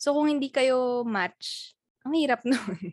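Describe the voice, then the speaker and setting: In a dry, close recording with no echo, a woman with an ordinary speaking voice uses lively intonation at a fairly slow pace. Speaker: podcast co-host. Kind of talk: casual chat.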